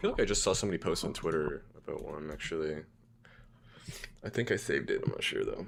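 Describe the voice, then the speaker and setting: A man speaks quietly at a very fast pace. He leaves long, frequent pauses. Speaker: game developer streamer. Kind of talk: casual livestream chat.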